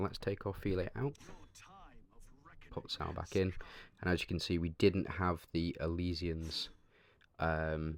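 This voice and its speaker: A man speaks quietly in a very deep, low pitch at a fairly slow pace, with long, frequent pauses and ordinary pitch variation. The recording is very clean, with a silent background. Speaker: gaming video creator. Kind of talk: gameplay commentary. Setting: on holiday, home recording. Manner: hesitant, many fillers.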